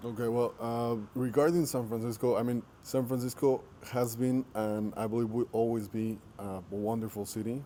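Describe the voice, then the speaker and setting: This man has a Spanish accent and a medium pitch. His intonation stays fairly even at a moderate pace. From Mexico. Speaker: entrepreneur. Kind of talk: interview. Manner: halting.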